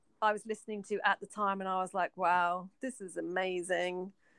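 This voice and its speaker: Recorded very cleanly with a silent background and a dry, close sound with no echo, a woman speaks at a moderate pace. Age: 40s. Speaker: podcast co-host. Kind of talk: casual chat.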